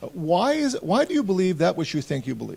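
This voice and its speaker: A man's dark, mellow tone with a Latvian accent. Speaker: pastor. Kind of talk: interview. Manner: hesitant, many fillers.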